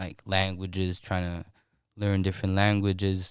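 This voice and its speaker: On a very clean recording with a silent background, the words arrive at a fairly slow pace. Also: man. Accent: American. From Belgium (Brussels), also Turkey and Brazil. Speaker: rapper. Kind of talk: podcast interview. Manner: halting, many fillers.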